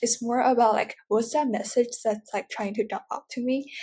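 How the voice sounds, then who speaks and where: The speaker uses a Mandarin accent and keeps a moderate pace. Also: woman. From China. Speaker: podcast guest with dyslexia. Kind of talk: interview. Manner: hesitant, many fillers.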